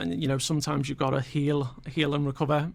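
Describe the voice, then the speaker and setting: A man with a Scouse accent talks in a fairly high pitch with ordinary pitch variation. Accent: Scouse, slightly posher from Formby. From Liverpool, England (Aintree, later Formby). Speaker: motivational guest, former Marine and pilot. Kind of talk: radio interview. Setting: radio studio. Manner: halting, many fillers.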